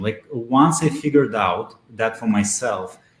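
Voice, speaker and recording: A man speaks in a Russian accent with a somewhat breathy voice. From Belarus. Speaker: SEO expert. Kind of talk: interview. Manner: hesitant, many fillers.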